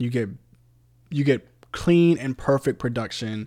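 A man with an American accent, medium pitch and a dark, mellow tone, at a fairly slow pace in a very clean recording, silent background. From Virginia Beach, Virginia. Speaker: podcast co-host and musician. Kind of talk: casual chat.

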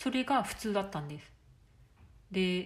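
A woman speaks in a somewhat breathy voice. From Japan. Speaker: life coach. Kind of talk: solo podcast monologue.

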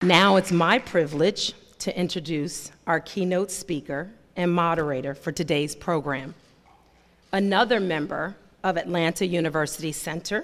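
A woman speaks in an unremarkable speaking voice, fairly low in pitch, at a moderate pace with ordinary pitch variation. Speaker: event host introducing speakers. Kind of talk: introduction.

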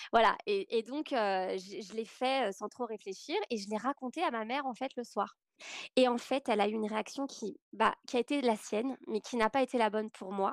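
Speaking at a moderate pace in an ordinary speaking voice, a woman has a fairly high pitch and ordinary pitch variation, with a dry, close sound with no echo on a very clean recording with a silent background. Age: 30s. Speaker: podcast guest sharing personal story. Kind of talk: testimony.

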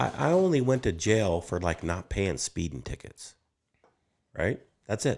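A man with an American accent, very deep, low pitch, vocal fry, very wide pitch swings and long, frequent pauses. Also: very clean recording, silent background. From Wyoming, US. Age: 50s. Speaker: property developer. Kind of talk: casual chat.

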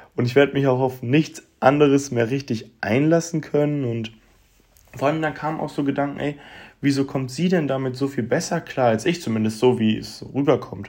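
This man has an ordinary speaking voice, fairly high in pitch, and speaks at a moderate pace with fairly even intonation in a very clean recording with a silent background. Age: 20s. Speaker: podcaster. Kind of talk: personal monologue. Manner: casual, colloquial.

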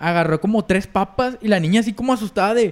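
The speaker has a Mexican accent and a fairly quick pace. Pitch variation is ordinary. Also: man. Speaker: podcast co-host. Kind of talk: casual chat.

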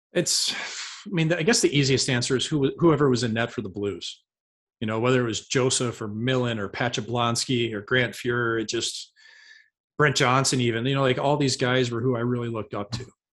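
A man speaks at a medium pitch and a fairly quick pace, his intonation fairly even. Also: quiet background. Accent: American. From US Midwest, St. Louis area. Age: 30s. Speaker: retired hockey goalie. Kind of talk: casual chat.

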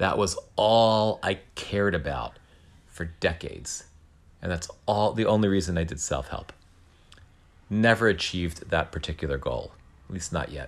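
Speaking at a moderate pace, a man has a very deep, low pitch with ordinary pitch variation and vocal fry. He leaves long, frequent pauses. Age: 50s. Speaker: podcast host. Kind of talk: solo monologue. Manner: halting.

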